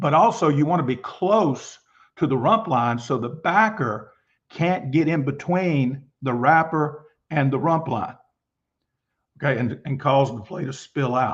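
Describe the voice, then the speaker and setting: A somewhat breathy man speaks fairly slowly with lively intonation. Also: fairly high pitch for a man, quiet background. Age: 60s. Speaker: football coach. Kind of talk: lecture.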